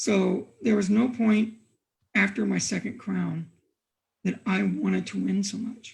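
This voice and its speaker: A man with an American accent speaks at a high pitch. His pace is fairly slow and his pitch varies in an ordinary way. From Montana, US. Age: 60s. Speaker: medieval combat fighter. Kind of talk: interview. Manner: halting.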